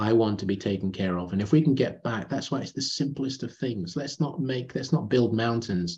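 A man's dark, mellow, somewhat breathy voice of medium pitch, fairly quick and lively in intonation, with hardly any pauses. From Nigeria. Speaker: retail consultant. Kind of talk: interview.

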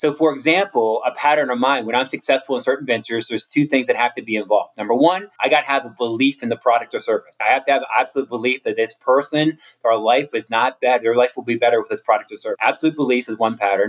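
A man with an American accent and a medium pitch, talking at a very fast pace with hardly any pauses and ordinary pitch variation. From US, Maryland (Cumberland). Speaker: motivational speaker. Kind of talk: interview. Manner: animated.

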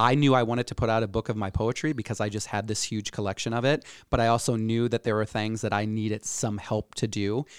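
A man with a Midwestern US accent at a very fast pace with hardly any pauses, medium in pitch with fairly even intonation, in a dry, close sound with no echo on a very clean recording with a silent background. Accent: US Midwest. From Iowa, Cedar Rapids. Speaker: entrepreneur and community activist. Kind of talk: podcast interview.

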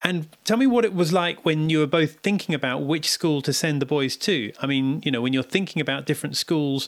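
A man's normal speaking voice, fairly high in pitch, with lively intonation and a fairly quick pace. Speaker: podcast host. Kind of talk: podcast interview.

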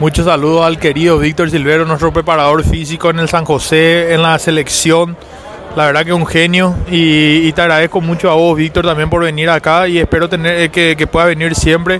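Against music in the background, a man speaks in a high pitch at a moderate pace, with monotone, flat intonation and very even loudness. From Paraguay. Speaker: rugby player. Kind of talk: interview. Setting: at a stadium.

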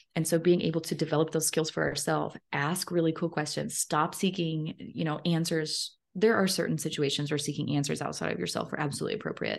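A woman speaks at a fairly quick pace with hardly any pauses, her very deep, low pitch carrying vocal fry and fairly even intonation. The background is quiet. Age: 30s. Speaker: author and speaker. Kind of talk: interview.

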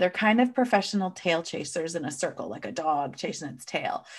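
A woman with an American accent, fairly quick pace and very wide pitch swings. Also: very clean recording, silent background. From US Midwest, near Kansas City. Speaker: conflict resolution coach and speaker. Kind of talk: podcast interview.

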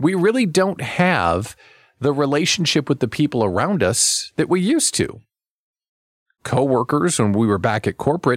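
A man's voice swings very widely in pitch. The recording is very clean, with a silent background. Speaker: radio host and small business coach. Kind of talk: radio talk show. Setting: studio. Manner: animated.

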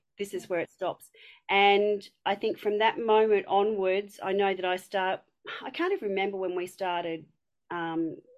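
A woman speaks in a strong Australian accent at a moderate pace. Her medium pitch carries fairly even intonation over a quiet background. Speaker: community member. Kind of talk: casual chat.

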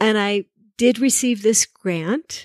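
Here is a woman with a plain, everyday voice, medium in pitch, with an American accent and fairly even intonation. The recording is very clean, with a silent background and a dry, close sound with no echo. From New Jersey. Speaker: choreographer. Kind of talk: interview. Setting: in her home.

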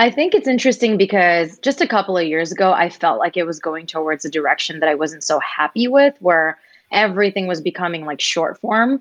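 With an American accent, a woman at a medium pitch talks at a fairly quick pace with hardly any pauses. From New York, US (Indian American). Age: 30s. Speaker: singer and songwriter. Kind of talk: interview chat. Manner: animated.

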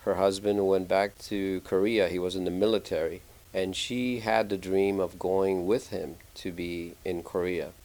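A man talks at a fairly slow pace with a very deep, low pitch. His intonation stays fairly even. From Puerto Rico. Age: 50s. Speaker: pastor. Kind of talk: interview.

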